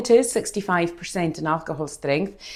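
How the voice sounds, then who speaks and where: A woman speaks with lively intonation in a dark, mellow tone. The recording is very clean, with a silent background. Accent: Hebridean. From Scotland, Outer Hebrides (Scalpay, Harris). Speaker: distillery tour guide. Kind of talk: guided tasting talk. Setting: distillery tasting room. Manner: hesitant fillers (eh).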